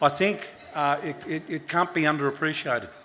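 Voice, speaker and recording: The speaker has an Australian accent and talks at a fairly quick pace against noticeable background noise. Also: man. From Sydney, Australia. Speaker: politician. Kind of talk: speech at awards event. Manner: halting.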